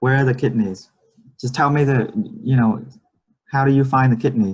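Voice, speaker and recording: Somewhat breathy male speech at a medium pitch, with fairly even intonation and a moderate pace. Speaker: medical English teacher. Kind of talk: online class. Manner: many fillers, uh and you know.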